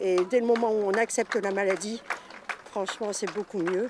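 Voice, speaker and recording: Ordinary pitch variation marks this voice, heard over noticeable background noise. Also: woman. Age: 60s. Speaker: trail participant with lung disease. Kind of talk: interview testimony.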